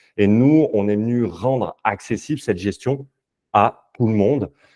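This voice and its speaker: A man speaks in a dark, mellow tone, the sound dry and close with no echo against a quiet background. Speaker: investment company sales and development lead. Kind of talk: webinar presentation. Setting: online webinar. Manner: hesitant, many fillers.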